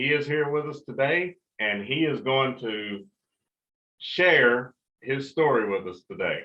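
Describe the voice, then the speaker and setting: A man speaks at a fairly slow pace with a normal speaking voice. His pitch sits fairly high. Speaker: talk show host. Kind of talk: casual talk show conversation.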